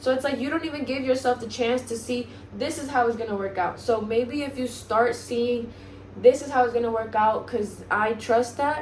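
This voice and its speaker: A woman with a high pitch speaks at a moderate pace amid noticeable background noise and audible room echo. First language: Spanish. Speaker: self-help vlogger. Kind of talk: motivational monologue. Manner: halting, stumbles over words.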